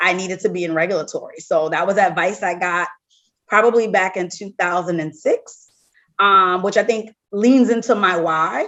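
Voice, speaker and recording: In an American accent, the voice proceeds at a moderate pace. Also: woman, medium pitch for a woman. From US South, New Orleans. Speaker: medical device regulatory executive. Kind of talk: podcast interview.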